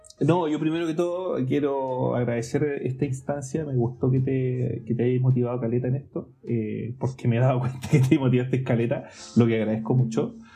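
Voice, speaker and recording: A man at a medium pitch, talking at a fairly quick pace with hardly any pauses and fairly even intonation, music in the background. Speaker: podcast co-host. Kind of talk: casual chat. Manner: halting.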